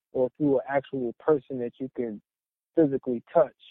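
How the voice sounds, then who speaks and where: At a medium pitch, a man speaks in an unremarkable speaking voice. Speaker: raw food juice bar owner. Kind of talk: casual interview.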